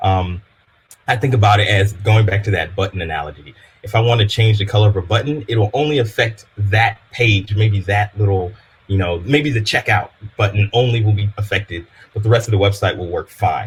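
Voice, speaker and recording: A man with an American accent speaks at a fairly quick pace in a fairly low, somewhat breathy voice with ordinary pitch variation. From Louisiana, US South (Baton Rouge). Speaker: developer advocate. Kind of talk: technical workshop presentation. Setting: live-streamed online meetup. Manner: casual, filler-heavy.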